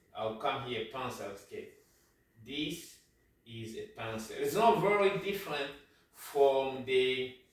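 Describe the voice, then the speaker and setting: A man with a fairly high voice speaks at a very slow pace with long, frequent pauses, very wide pitch swings and big swings in loudness, in a room with audible echo. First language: French. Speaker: sewing teacher, medical doctor. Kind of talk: tutorial. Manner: halting.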